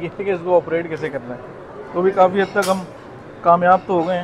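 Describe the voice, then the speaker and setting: Over noticeable background noise, a man with a high pitch talks in a monotone, flat intonation. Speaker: food vlogger. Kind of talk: casual vlog chat. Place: cafe. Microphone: lapel.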